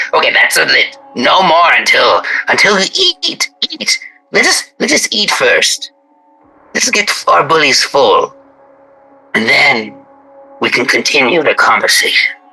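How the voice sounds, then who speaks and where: Using a put-on character voice, a man speaks at a fairly slow pace with long, frequent pauses while faint music plays in the background. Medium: actual play. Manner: theatrical, ingratiating.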